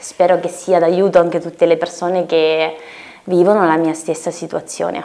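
Her fairly low voice moves at a moderate pace, the woman's intonation monotone and flat. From Lithuania, moved to Italy at 10. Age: 20s. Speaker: singer-songwriter; guest. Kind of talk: interview. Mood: calm, friendly. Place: studio.

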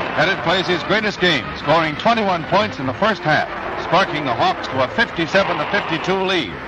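The sound is dry with no echo, but loud background noise runs underneath. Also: man, fairly quick pace. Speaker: newsreel narrator. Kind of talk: vintage newsreel narration. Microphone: old recording.

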